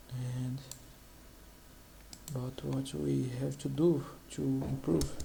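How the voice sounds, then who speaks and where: In a Portuguese accent, a man with a very deep, low, somewhat breathy voice and a dark, mellow tone speaks at a very slow pace. His pitch swings very widely amid audible room echo. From Brazil. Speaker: economist, channel host. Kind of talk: informal explainer presenting data on screen. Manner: halting, frequent hesitations and restarts.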